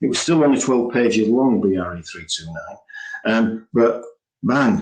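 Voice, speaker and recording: A man with a plain, everyday voice speaks at a medium pitch and a fairly slow pace. His intonation is lively, with big swings in loudness. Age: 60s. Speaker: building preservation specialist. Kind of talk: webinar presentation. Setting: online webinar. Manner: casual, conversational.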